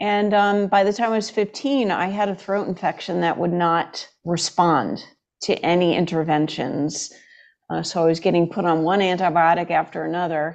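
In an unremarkable speaking voice, a woman talks at a moderate pace with fairly low pitch and ordinary pitch variation against a quiet background. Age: 60s. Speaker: chiropractor. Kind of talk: interview.

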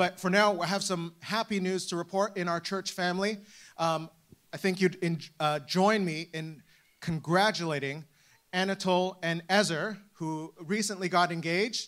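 Someone with a Canadian accent speaks at a moderate pace with fairly even intonation in a very clean recording with a silent background. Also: man, high pitch for a man. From Canada. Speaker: church staff member leading service. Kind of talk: church welcome and announcements. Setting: church with live congregation. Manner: halting, with frequent repetitions.

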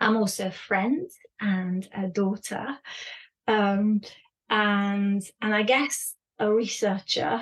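Woman at medium pitch, somewhat breathy, with fairly even intonation, very slow pace, and long, frequent pauses. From France and the UK. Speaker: education consultant and author. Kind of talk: interview conversation.

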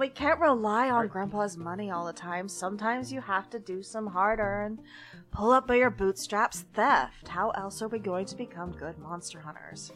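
In a put-on character voice that sounds female, the speaker drawls in a bubbly tone at a middle pitch and a moderate pace, with clear background noise. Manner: bubbly, spacey influencer drawl.

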